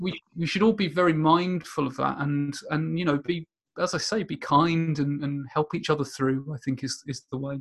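In a southern English accent, a man with a fairly high, somewhat breathy voice talks at a moderate pace with fairly even intonation and hardly any pauses. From southern England, near Portsmouth. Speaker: business analysis consultant. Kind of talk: interview. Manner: halting, many repetitions.

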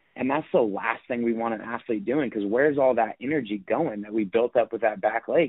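Using an unremarkable speaking voice with an American accent, a man speaks at a fairly quick pace, medium in pitch with ordinary pitch variation. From Northern California, US (Sacramento). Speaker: strength and conditioning coach. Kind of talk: interview.

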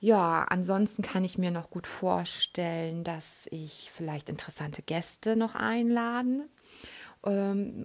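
A woman at a very slow pace, in a very clean recording with a silent background. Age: 30s. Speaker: podcast host and relaxation trainer. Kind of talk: casual monologue. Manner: hesitant, many fillers.

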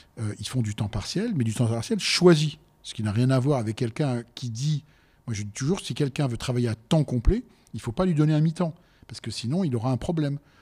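A man talks at a fairly quick pace with lively intonation and a medium pitch. His voice is somewhat breathy with a dark, mellow tone, in a very clean recording with a silent background. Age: 60s. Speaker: business owner, restaurant entrepreneur. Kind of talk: debate.

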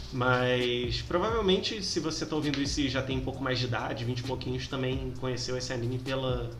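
Noticeable background noise and audible room echo accompany a man of medium pitch who talks at a fairly quick pace with ordinary pitch variation and hardly any pauses. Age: 20s. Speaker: podcast host, teacher. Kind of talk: casual chat.

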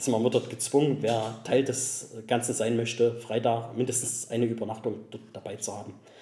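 A man speaks at a moderate pace in a medium pitch, with hardly any pauses. His intonation is monotone and flat, and there is noticeable background noise. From Saxony, Germany (between Chemnitz and Zwickau). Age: 30s. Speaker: Italian car enthusiast. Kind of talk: casual interview.

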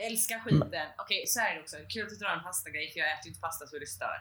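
The recording carries audible room echo, big swings in loudness and noticeable background noise. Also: woman. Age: 20s. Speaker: podcast co-host. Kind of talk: casual chat.

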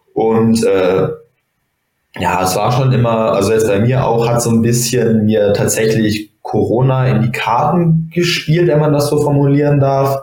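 With an unremarkable speaking voice, a man talks at a fairly slow pace and medium pitch, showing ordinary pitch variation and very even loudness. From Germany, Bonn. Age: 20s. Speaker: judoka and medical student. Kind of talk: casual interview.

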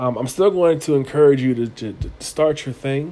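This man has a normal speaking voice, medium in pitch, delivered at a moderate pace with fairly even intonation. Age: 30s. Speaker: podcast host, storytelling coach. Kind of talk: casual solo monologue.

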